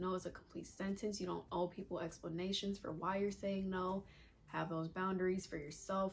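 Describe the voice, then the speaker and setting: A woman speaks in a somewhat breathy voice. Her intonation is monotone and flat. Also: medium pitch for a woman. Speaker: lifestyle vlogger. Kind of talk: casual advice monologue. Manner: fast.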